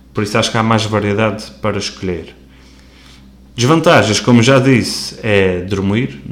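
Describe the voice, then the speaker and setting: There is audible room echo around a man's fairly low voice. He speaks at a moderate pace with ordinary pitch variation and long, frequent pauses. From Azores, Terceira island. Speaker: podcast host. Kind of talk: casual solo monologue. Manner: casual, slightly halting.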